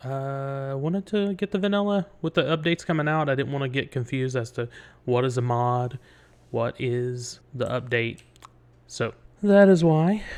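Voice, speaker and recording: Against a quiet background, the speaker talks at a moderate pace with an East Tennessee accent. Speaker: gaming video creator. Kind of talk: let's play commentary. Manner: casual, thinking aloud.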